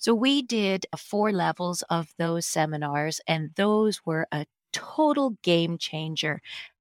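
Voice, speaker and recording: Heard in a dry, close sound with no echo, a woman with a fairly low pitch speaks with lively intonation. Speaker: guest sharing healing story. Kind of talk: casual interview, personal storytelling.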